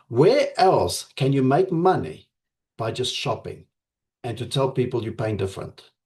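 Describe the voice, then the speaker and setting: A man speaks at a fairly slow pace and medium pitch. His voice is somewhat breathy, with lively intonation. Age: 50s. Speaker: network marketing leader. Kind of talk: motivational pitch to members.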